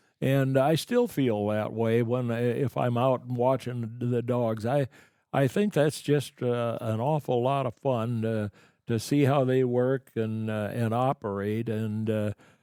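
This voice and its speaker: In a Midwestern American accent, a man speaks fairly slowly at a medium pitch with a dark, mellow tone and fairly even intonation, on a very clean recording with a silent background. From Boone, Iowa. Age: 80s+. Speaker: retired upland bird hunter. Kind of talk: podcast interview answer. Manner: hesitant, halting.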